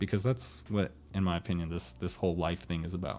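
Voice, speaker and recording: With music in the background, a man with an American accent speaks at a moderate pace in a very deep, low pitch with ordinary pitch variation. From USA, Nicaraguan American family. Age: 20s. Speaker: podcast host. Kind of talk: solo podcast monologue. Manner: casual, with frequent repetitions.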